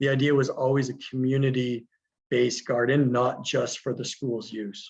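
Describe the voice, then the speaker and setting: The speaker is a man with a somewhat breathy voice. His pitch sits in the medium range. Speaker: teacher running a school garden. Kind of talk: webinar presentation. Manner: fast.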